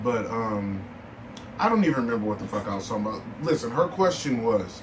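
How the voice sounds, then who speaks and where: Noticeable background noise and audible room echo surround the recording. A man with a medium pitch talks at a fairly quick pace. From Milwaukee, Wisconsin, US Midwest. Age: 20s. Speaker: podcast host. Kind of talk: casual chat. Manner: animated.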